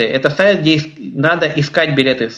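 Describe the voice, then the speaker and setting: Noticeable background noise surrounds a man speaking with ordinary pitch variation. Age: 20s. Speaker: blind traveler and trainer giving a webinar. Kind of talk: webinar talk.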